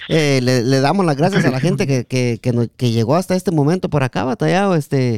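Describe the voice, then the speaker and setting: At a moderate pace, a man talks in an animated tone with lively intonation and a dry, close sound with no echo. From Guatemala. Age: 30s. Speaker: podcast host. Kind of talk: casual chat.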